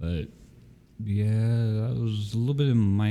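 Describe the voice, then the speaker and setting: Soft-spoken, a man talks in a dark, mellow tone. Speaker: podcast co-host. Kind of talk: casual chat.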